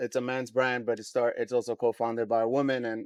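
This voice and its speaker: A man with a New York accent talks at a moderate pace in a medium pitch, his intonation fairly even. The sound is dry and close with no echo, over a quiet background. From New York, Queens. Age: 40s. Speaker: brand co-founder. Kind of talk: podcast interview.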